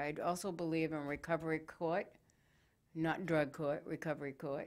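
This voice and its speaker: Fairly low pitch from a woman, an ordinary speaking voice, at a moderate pace. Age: 60s. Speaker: talk show host. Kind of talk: casual interview chat.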